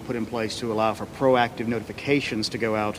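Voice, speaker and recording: Over noticeable background noise, a man talks at a fairly quick pace with an American accent and a monotone, flat intonation. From Georgia, US. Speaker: election official. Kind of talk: press briefing. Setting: press conference. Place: hall. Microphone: podium.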